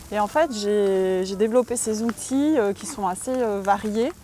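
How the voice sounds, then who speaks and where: Noticeable background noise accompanies a woman talking at a fairly high pitch. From Switzerland. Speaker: medium and energy healer. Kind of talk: interview. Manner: hesitant, many filler sounds.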